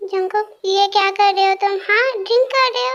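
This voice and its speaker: A woman talks at a fairly quick pace in a put-on character voice. It's squeaky and extremely high-pitched, with ordinary pitch variation. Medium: read story.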